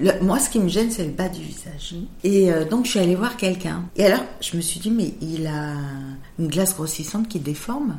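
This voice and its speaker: A medium-pitched woman at a moderate pace with ordinary pitch variation, plus audible room echo and noticeable background noise. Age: 50s. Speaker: makeup artist. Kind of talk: interview.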